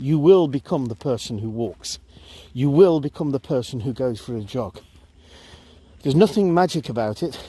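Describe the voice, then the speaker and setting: Speaking at a moderate pace with long, frequent pauses, a man uses lively intonation and a dark, mellow tone. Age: 60s. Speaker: vlogger. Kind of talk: casual talk to camera while walking. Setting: outdoors.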